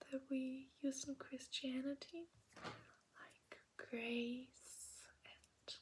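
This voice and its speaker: Speaking at a very slow pace in a German accent, a woman uses a high pitch and monotone, flat intonation. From Germany. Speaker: ASMR creator. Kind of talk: ASMR language lesson. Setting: in bed at night. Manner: soft-spoken, whispery.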